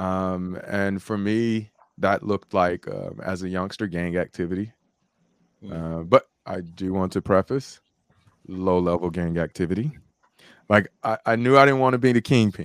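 A man's very deep, low voice comes at a moderate pace with ordinary pitch variation, in a dry, close sound with no echo. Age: 40s. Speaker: motivational speaker and life coach, retired combat veteran. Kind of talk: casual interview conversation. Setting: video call.

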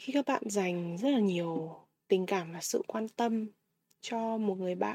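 At a fairly slow pace, a woman speaks at medium pitch with a dark, mellow tone and ordinary pitch variation. The sound is dry and close with no echo, in a very clean recording with a silent background. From Vietnam. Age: 20s. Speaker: podcast host. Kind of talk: personal monologue podcast.

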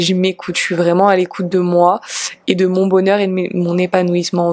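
Her pitch medium, a woman talks at a moderate pace. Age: 30s. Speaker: yoga teacher and podcast host. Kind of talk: casual Q&A monologue.

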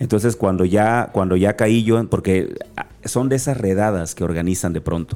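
A man with a slight Guerrero accent speaks at a moderate pace, his voice fairly low. The tone is dark and mellow, with ordinary pitch variation. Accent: faint Acapulco. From Acapulco, Guerrero, Mexico. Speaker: motivational speaker. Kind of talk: interview conversation.

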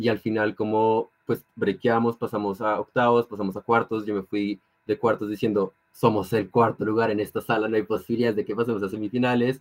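Fairly low in pitch, a man speaks at a fairly quick pace with hardly any pauses and monotone, flat intonation. The sound is dry and close, with no echo. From Colombia. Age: 18. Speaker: law student and debater. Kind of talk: casual interview.

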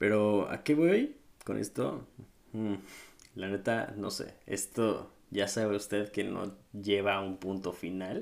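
In a Mexico City accent, a man speaks at a very slow pace, his fairly low pitch following a fairly even intonation. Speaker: podcast host. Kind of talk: casual monologue. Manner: casual, halting with fillers.

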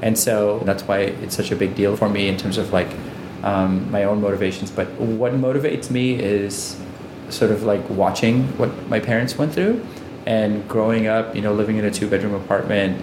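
Over noticeable background noise and audible room echo, a man speaks at a moderate pace in a fairly low pitch, with fairly even intonation and very even loudness. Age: 30s. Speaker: entrepreneur, company CEO. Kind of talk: interview. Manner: frequent filler words.

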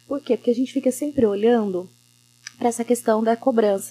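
At a very fast pace, a woman talks with fairly even intonation. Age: 30s. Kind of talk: casual chat.

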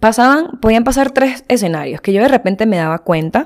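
At a moderate pace, this woman talks with an animated tone. The background is silent and the recording very clean. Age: 20s. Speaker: podcast host. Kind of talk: solo monologue.

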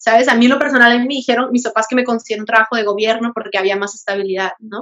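Her fairly high voice rushes along at a very fast pace with fairly even intonation. The woman's sound is dry and close, with no echo. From Mexico, Veracruz. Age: 20s. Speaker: human resources consultant. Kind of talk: casual interview.

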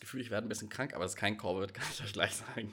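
Here a man's bright, sharp tone comes with ordinary pitch variation on a very clean recording with a silent background. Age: 20s. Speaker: podcast co-host and student. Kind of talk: casual chat.

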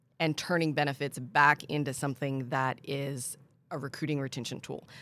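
On a very clean recording with a silent background, a woman with an American accent speaks at a moderate pace in a very deep, low voice with monotone, flat intonation. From Pennsylvania. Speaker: employee benefits consultant. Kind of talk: casual interview.

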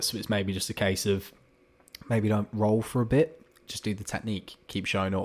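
This man's voice sits at a fairly low pitch. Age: 20s. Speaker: amateur fighter. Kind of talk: casual chat.

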